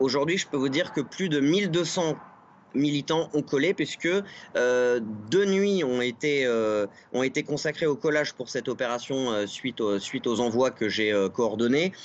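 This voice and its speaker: A man talks at a fairly slow pace with a medium pitch. His intonation is lively. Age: 30s. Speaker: political campaign activist. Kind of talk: TV interview. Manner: hesitant, many filler sounds. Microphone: video call.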